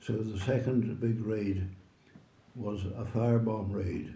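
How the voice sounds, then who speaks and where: A very slow man with a Northern Irish accent, fairly low pitch, a dark, mellow, somewhat breathy tone and monotone, flat intonation. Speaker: oral history interviewee. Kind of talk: interview answer.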